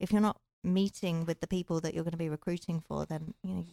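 Very fast speech in an English accent, with fairly even intonation, a dark, mellow tone and a dry, close sound free of echo. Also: woman. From England. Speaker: recruiter. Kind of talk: casual chat.

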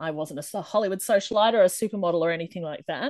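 A woman with an Australian accent speaks at medium pitch with ordinary variation. The sound is dry and close, without echo. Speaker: indie romance author. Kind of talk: interview.

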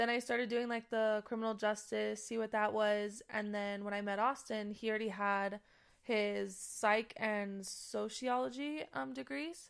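A normal speaking voice from a woman, fairly high in pitch, at a fairly slow pace with ordinary pitch variation, on a very clean recording with a silent background. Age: 20s. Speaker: sheriff's deputy. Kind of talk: casual interview chat.

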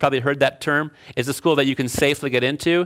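This man has a plain, everyday voice with an American accent, a medium pitch and a fairly quick pace. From Chicago. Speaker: engineering professor and author. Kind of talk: lecture.

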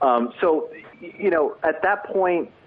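A man with an American accent amid noticeable background noise. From New Jersey, US. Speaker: sports writer. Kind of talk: casual interview. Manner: halting with many repeated fillers.

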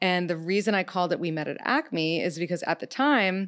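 Speaking with an American accent, this voice is a plain, everyday voice at a moderate pace. The recording is very clean, with a silent background. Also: woman. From New York City. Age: 30s. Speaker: dating podcast host. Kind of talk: casual interview chat. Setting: studio.

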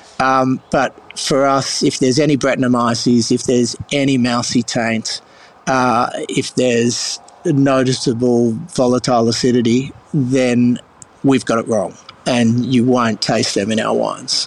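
In an Australian accent, a man speaks fairly slowly at a medium pitch, monotone and flat, with very even loudness. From Sydney, Australia. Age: 50s. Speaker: winemaker. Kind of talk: interview.

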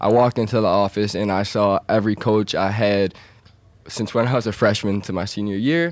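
An ordinary speaking voice, this man's pitch sits fairly low. He moves at a fairly quick pace with ordinary pitch variation. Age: young. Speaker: dropshipping entrepreneur. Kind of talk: interview. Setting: studio.

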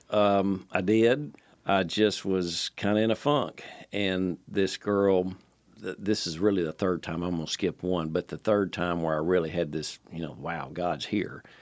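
A man speaks in a Tennessee accent at a fairly slow pace. His very deep, low pitch shows ordinary variation. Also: very clean recording, silent background. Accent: Southern US (Tennessee). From Nashville, Tennessee. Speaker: retired engineer and father. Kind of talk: storytelling in casual family chat. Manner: halting, many fillers and restarts.

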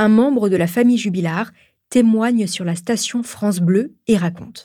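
This is an unremarkable speaking voice from a woman. Her pitch is medium with ordinary variation. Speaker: podcast host. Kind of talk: true-crime narration. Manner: measured, serious storytelling tone.

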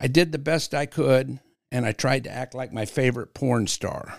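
Vocal fry runs through this man's speech, delivered at a moderate pace. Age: 60s. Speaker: community organization founder. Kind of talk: podcast interview.

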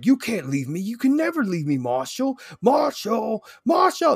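A man does a put-on character voice at an extremely high pitch. His pace is moderate. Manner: pleading, possessive, repeating the name.

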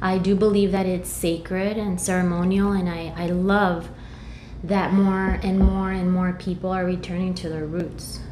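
A woman with an American accent speaks at medium pitch and a moderate pace. Her intonation stays fairly even, and audible room echo surrounds her. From US, came from Mexico at age two. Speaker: holistic practitioner and intuitive guide. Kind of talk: casual interview chat.

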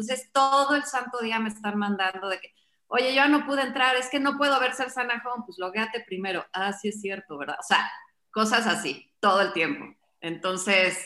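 Bright and sharp, a woman's fairly high voice carries lively intonation. She moves at a moderate pace. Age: 40s. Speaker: fitness program founder. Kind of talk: casual chat.

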